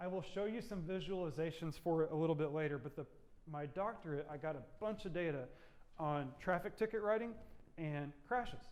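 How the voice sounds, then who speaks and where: Audible room echo surrounds a man whose high voice shows ordinary pitch variation. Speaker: university lecturer. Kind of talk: lecture. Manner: fast.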